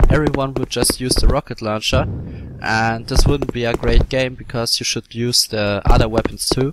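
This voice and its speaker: Over noticeable background noise, a man speaks at a moderate pace and medium pitch, with fairly even intonation. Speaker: indie game developer. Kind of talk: casual gameplay devlog commentary.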